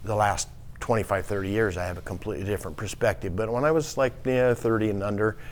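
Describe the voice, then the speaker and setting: Here a man with an American accent talks at a very fast pace, with fairly low pitch and ordinary pitch variation. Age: 60s. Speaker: hardware store owner. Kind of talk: casual interview. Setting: podcast studio at a marina. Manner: halting.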